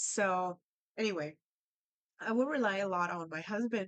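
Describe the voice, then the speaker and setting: Speaking with a Spanish accent, a woman talks at a fairly slow pace, and the sound is dry and close with no echo. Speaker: language learning vlogger. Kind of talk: casual storytelling. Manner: conversational, with fillers.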